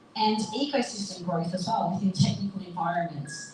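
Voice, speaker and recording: Speaking in an Australian accent at a moderate pace, a woman uses a medium pitch with ordinary variation. Noticeable background noise runs behind her. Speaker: panel moderator, marketing agency founder. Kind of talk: panel moderation at live event. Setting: live event with audience.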